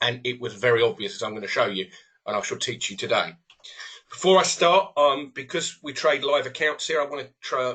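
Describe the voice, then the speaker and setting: A man with a fairly high pitch at a fairly quick pace. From southern England (Hampshire). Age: 50s. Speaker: trading educator. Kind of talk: live webinar presentation. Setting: live webinar.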